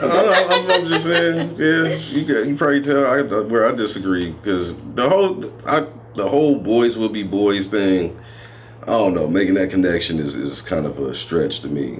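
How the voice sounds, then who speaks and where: The pitch swings very widely as a man talks at a moderate pace. Noticeable background noise and audible room echo fill the recording. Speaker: parent. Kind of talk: casual chat. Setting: on camera.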